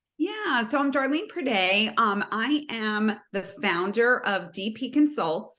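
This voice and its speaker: Speaking very slowly with a New Jersey accent, a woman uses lively intonation and a bright, sharp tone at a fairly high pitch. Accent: New Jersey American. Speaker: sales consultant. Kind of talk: podcast interview.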